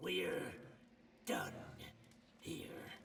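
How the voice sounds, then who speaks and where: A man puts on a growling, raspy character voice. Clear background noise is present. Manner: growling, rancid.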